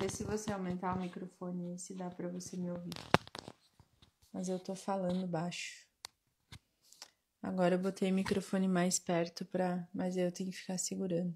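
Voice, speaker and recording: A soft-spoken woman with medium pitch talks at a moderate pace. Her intonation is monotone and flat, with long, frequent pauses. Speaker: spiritual mentor and live-stream host. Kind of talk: live-stream Q&A talk. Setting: live stream. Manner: soft-spoken, quiet. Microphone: quiet, mic held close.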